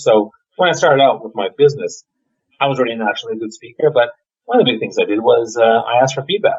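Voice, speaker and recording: At a very fast pace, a man talks with lively intonation. There's a somewhat breathy quality to his voice. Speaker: leadership speaker and coach. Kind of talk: interview.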